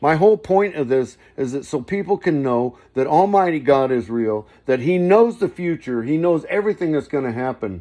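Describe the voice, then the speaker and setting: In a quiet background, a man with an American accent speaks at a fairly high pitch, his voice swinging very widely up and down. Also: moderate pace. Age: 60s. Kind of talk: casual religious monologue. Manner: rambling, halting with restarts.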